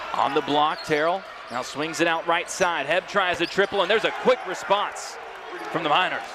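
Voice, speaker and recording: There is noticeable background noise in this clip. A man speaks at a high pitch with ordinary pitch variation. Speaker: play-by-play sports commentator. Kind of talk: live commentary. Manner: fast.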